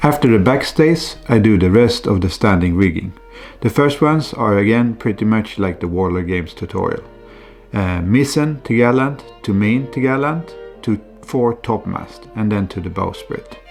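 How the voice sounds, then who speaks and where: Over music in the background, a man with a Swedish accent talks at a moderate pace and medium pitch with lively intonation. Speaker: scale ship model hobbyist. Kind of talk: hobby tutorial voiceover.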